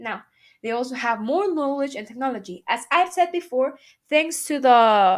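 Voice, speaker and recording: A woman talks at a high pitch in a Spanish accent, her intonation lively. The recording is very clean with a silent background. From Mexico. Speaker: student. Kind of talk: class presentation. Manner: halting.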